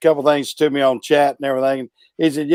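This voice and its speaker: A man's fairly high voice with a Southern US accent, dry and close with no echo. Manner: hesitant, frequent fillers.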